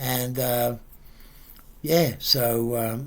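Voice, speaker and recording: Against audible room echo, a man speaks with fairly even intonation. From England. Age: 70s. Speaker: family friend, pensioner. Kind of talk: memorial tribute message. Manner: halting, many fillers.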